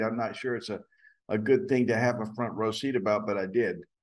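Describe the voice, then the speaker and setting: A man speaks with an American accent and fairly even intonation. Audible room echo is present. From US South (Atlanta, Georgia). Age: 70s. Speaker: actor and acting teacher. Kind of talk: casual interview chat. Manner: halting, many fillers.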